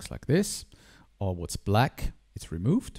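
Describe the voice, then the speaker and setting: Fairly slow and with a German accent, a man speaks in a dry, close sound with no echo. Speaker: digital artist. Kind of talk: tutorial. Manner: halting.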